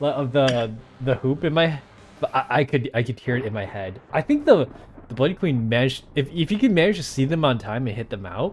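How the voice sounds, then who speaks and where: A man with a medium-pitched, somewhat breathy voice talks at a fairly quick pace with lively intonation. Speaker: tournament host and game commentator. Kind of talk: live commentary.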